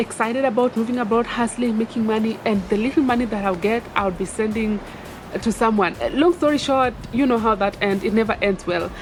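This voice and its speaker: With music in the background, a woman talks at a fairly quick pace and fairly high pitch, showing ordinary pitch variation. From Kenya. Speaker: vlogger. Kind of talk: casual advice vlog. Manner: animated.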